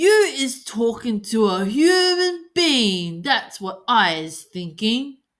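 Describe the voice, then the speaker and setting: A woman puts on a loud character voice at a fairly high pitch, speaking very slowly with very wide pitch swings and hardly any pauses. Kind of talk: bedtime story. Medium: read story. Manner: loud, bullying, ungrammatical giant-speak.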